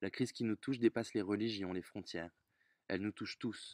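In a dry recording with no echo and a quiet background, a man speaks in a fairly low voice. His pace is fairly quick and his intonation fairly even. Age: 30s. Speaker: volunteer donor. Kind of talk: testimony. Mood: earnest, reflective. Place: garden. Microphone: phone near.

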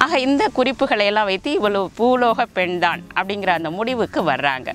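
With lively intonation and a fairly high pitch, a woman speaks in a dry sound with no echo while faint music plays in the background. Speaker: Tamil literature professor. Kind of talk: lecture on classical literature. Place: garden.

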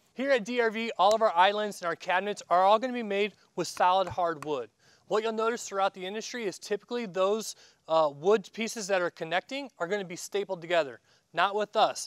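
A man talks at a fairly quick pace in a high pitch with ordinary pitch variation. The sound is dry with no echo, and the background is quiet. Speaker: company guide. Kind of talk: tour presentation. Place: factory.

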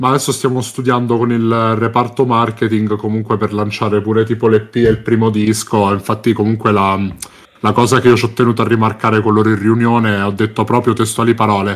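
A man talks in a normal speaking voice at medium pitch. His pace is fairly quick. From Abruzzo-Molise, central-southern Italy. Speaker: streamer guest. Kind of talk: live stream casual chat.

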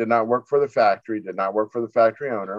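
In a quiet background, a man with an American accent speaks with ordinary pitch variation. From Florida (Tampa). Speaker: newspaper editor and publisher. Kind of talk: interview. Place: home room. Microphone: video call.

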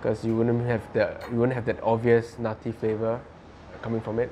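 Light background noise is present. A man does the talking. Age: 20s. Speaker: bartender. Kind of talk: tutorial. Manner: casual, with frequent fillers. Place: home room.

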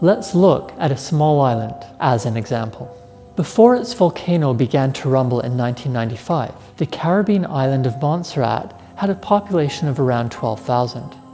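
Moderate pace with faint music in the background. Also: man. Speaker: professor presenting science series. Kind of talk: educational explainer. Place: studio. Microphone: lapel.

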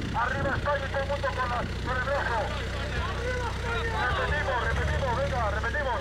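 Someone speaks at a moderate pace over loud background noise. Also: man. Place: open country. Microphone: camera far.

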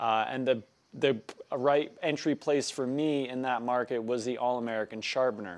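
The man's speech has ordinary pitch variation and moves at a moderate speed. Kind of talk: casual vlog chat. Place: workshop. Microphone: lapel.

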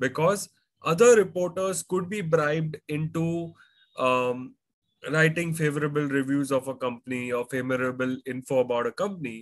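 At a moderate pace and with ordinary pitch variation, a man talks over a quiet background. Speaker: finance educator. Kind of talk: lecture. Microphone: webcam.

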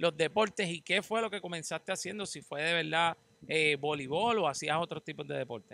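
A man speaks with a high pitch and ordinary pitch variation in a bright, sharp tone. The sound is dry, with no echo. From Puerto Rico. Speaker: podcast host. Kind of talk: casual interview. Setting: outdoors. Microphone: handheld.

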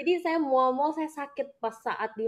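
A woman speaks at a fairly quick pace with a Jakarta accent. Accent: Indonesian accent, Jakarta. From Jakarta, Indonesia. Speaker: businesswoman and network marketing leader. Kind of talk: live interview, personal testimony. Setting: live video. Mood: grateful, warm. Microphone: video call.

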